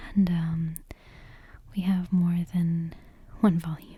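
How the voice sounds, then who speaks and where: Soft-spoken delivery at a very slow pace. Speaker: ASMR creator. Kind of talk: casual ASMR intro chat. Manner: hesitant, many fillers.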